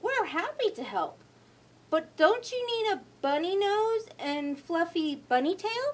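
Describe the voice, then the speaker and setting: A woman performs a put-on character voice at an extremely high pitch. She speaks at a fairly slow pace. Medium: read story. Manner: cheerful, teasing.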